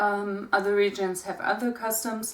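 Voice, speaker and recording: Fairly slow speech from a woman at a medium pitch. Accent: German. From Germany. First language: German. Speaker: pagan content creator. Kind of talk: casual talk to camera.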